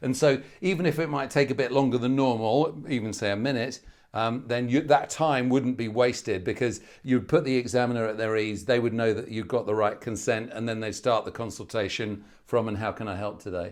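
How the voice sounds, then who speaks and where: A man with a British accent talks at a fairly quick pace with hardly any pauses. His pitch is medium, with ordinary pitch variation, against a quiet background. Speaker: medical exam tutor. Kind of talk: webinar Q&A. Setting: online webinar. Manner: loud, animated.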